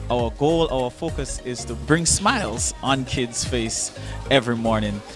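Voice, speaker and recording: A man talks at a fairly slow pace in a dry recording with no echo, with music clearly audible in the background. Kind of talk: launch announcement to camera. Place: classroom. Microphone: handheld.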